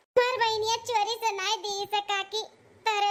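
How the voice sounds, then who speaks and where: A woman does a cartoonish character voice at an extremely high pitch, speaking at a moderate pace with monotone, flat intonation. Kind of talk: rustic cartoon melodrama. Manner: pleading, earnest.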